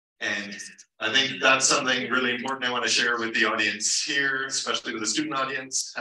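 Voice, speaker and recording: A man is speaking. His voice carries an audible room echo. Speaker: lecturer. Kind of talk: lecture. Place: hall.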